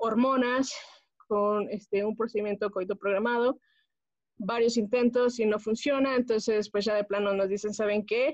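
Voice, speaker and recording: A woman's plain, everyday voice, fairly high-pitched, at a moderate pace with fairly even intonation. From Mexico, Pachuca, Hidalgo. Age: 20s. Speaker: homemaker. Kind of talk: casual chat.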